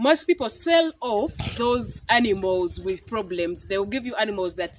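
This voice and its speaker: A fairly slow pace in a Ugandan accent, over noticeable background noise. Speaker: goat farmer and vlogger. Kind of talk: casual vlog talk to camera. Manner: halting, repeats words.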